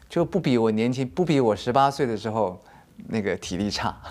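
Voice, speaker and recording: Speaking in an ordinary speaking voice, a man keeps a medium pitch and a moderate pace. His intonation is lively. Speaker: dancer and choreographer. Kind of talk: interview.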